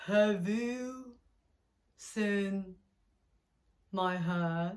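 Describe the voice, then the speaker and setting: The speaker uses a put-on character voice. It sits at a middle pitch. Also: female-sounding voice. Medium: read story. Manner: slow, polite.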